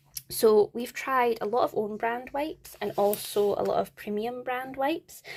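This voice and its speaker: The speaker is a woman with a Scottish accent. She talks at a fairly slow pace with ordinary pitch variation. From Scotland. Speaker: parenting vlogger. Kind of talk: product review vlog. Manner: casual, chatty.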